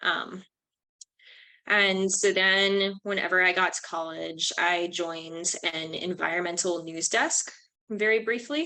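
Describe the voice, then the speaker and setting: A woman with an American accent speaks at a fairly slow pace, her medium-pitched voice bright and sharp in tone with ordinary pitch variation. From St. Louis, Missouri, USA. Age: young. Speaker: student and climate nonprofit founder. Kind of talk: interview answer.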